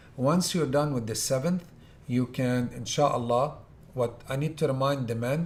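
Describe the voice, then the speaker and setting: Through audible room echo, a man speaks at a fairly slow pace in a somewhat breathy, medium-pitched voice with ordinary pitch variation. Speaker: Hajj tour organizer giving instructions. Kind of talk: lecture.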